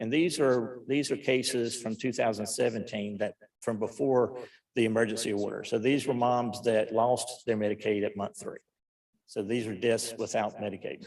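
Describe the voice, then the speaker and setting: A man speaks at a moderate pace and medium pitch with fairly even intonation in a plain, everyday voice. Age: 60s. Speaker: physician testifying to lawmakers. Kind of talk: legislative hearing testimony. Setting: committee hearing room.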